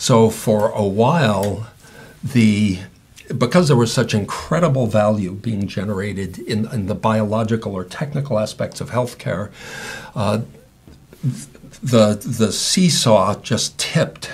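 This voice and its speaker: This man talks at a medium pitch and a fairly slow pace. Long pauses come often. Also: ordinary pitch variation. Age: 60s. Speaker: patient advocate and speaker. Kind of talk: interview.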